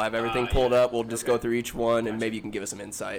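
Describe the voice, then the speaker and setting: A man speaks over noticeable background noise. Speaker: podcast host. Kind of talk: casual chat.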